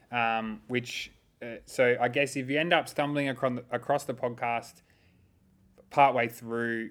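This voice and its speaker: Recorded very cleanly against a silent background, a man with an Australian accent talks at a moderate pace in a medium pitch, his intonation fairly even. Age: 30s. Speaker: youth and social work podcast co-host. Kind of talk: casual chat.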